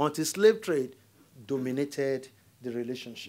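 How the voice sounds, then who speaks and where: A man with a Nigerian accent, fairly high in pitch with a dark, mellow tone, at a moderate pace on a very clean recording with a silent background. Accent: Nigerian (Yoruba) English. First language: Yoruba. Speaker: diplomat. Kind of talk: lecture.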